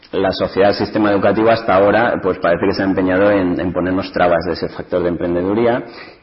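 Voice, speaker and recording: A man with a very deep, low pitch talks at a very fast pace with hardly any pauses and monotone, flat intonation over noticeable background noise. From Spain, Ciudad Real. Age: 30s. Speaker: entrepreneur. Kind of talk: panel talk.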